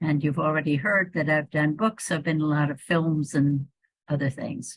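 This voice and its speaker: A woman speaks at a very deep, low pitch with a somewhat breathy sound. Her intonation is fairly even. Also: moderate pace. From US Northeast, Hudson Valley New York. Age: 80s+. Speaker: evolution biologist and author. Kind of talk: interview conversation.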